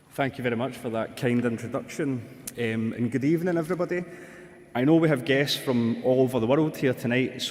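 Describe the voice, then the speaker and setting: A man with a Glaswegian accent talks at a fairly quick pace, his pitch medium and its variation ordinary. Noticeable background noise runs under his speech. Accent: broad Glaswegian. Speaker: speaker welcoming guests at an award ceremony. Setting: stage.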